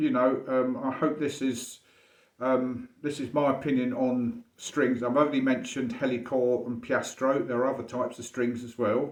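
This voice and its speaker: A man's intonation stays fairly even. He talks at a moderate speed with a medium pitch. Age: 60s. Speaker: violinist. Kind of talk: casual monologue to camera. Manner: halting, many fillers and restarts.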